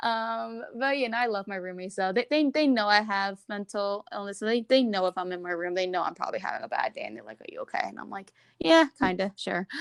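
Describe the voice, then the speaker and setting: A woman talks at a very fast pace with hardly any pauses, her medium pitch carried by lively intonation. The sound is dry and close, with no echo. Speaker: podcast guest sharing mental health story. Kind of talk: casual interview. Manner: halting; mumbling.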